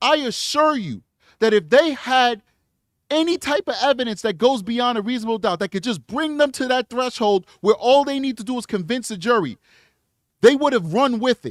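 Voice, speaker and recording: A man in a New York accent, extremely high-pitched with lively intonation, on a very clean recording with a silent background and a dry, close sound with no echo. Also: moderate pace. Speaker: legal commentator. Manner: emphatic, repetitive.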